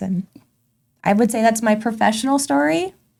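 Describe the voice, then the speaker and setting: A woman with an American accent, dark, mellow tone and fairly quick pace, in a very clean recording with a silent background. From Tulsa, Oklahoma. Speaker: brand strategist and event organizer. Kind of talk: podcast interview.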